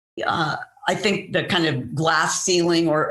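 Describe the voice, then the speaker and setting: There is audible room echo around a woman's fairly low-pitched voice. She talks at a fairly slow pace. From San Francisco, US West Coast. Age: 70s. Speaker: rock musician. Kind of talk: podcast interview. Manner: halting, many fillers.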